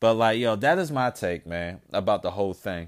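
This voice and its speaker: In a very clean recording with a silent background, a man with a plain, everyday voice talks at a fairly slow pace with lively intonation. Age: 30s. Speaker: podcast host. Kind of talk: casual monologue. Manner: casual, filler-heavy.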